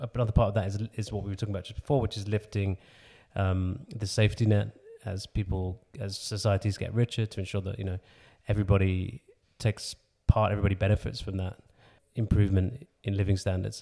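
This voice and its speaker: A man with a fairly low pitch and a dark, mellow, somewhat breathy tone speaks at a very fast pace. His intonation is monotone and flat, and the recording is very clean with a silent background. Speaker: podcast host interviewer. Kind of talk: interview questioning.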